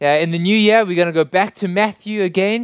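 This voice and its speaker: The speaker has a South African accent. The recording is very clean, with a silent background. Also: man. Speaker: pastor. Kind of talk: sermon. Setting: church.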